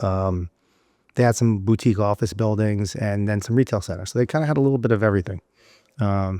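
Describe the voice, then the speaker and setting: A man with a New York accent and a fairly low pitch speaks at a fairly quick pace with ordinary pitch variation, in a dry, close sound with no echo on a very clean recording with a silent background. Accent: New York City. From South Florida. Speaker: real estate investor. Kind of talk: podcast interview answer.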